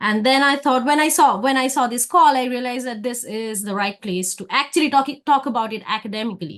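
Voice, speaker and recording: Here a woman talks at a fairly quick pace. She has a high pitch and a Bengali accent. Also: ordinary pitch variation. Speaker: academic researcher. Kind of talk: conference presentation.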